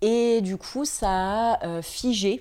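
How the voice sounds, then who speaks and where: Ordinary pitch variation marks a woman's dark, mellow tone in a very clean recording with a silent background. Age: 30s. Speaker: image consultant and founder. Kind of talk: interview.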